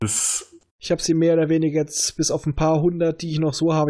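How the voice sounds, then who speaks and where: This man's voice is pitched fairly high. He talks at a fairly quick pace. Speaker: podcast host. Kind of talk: casual chat.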